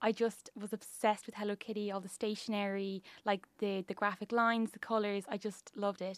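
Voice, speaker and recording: Speaking at a fairly quick pace with an Irish accent, a woman keeps a medium pitch and monotone, flat intonation, recorded with a dry, close sound and no echo. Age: 20s. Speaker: business founder and designer. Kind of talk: radio interview. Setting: studio.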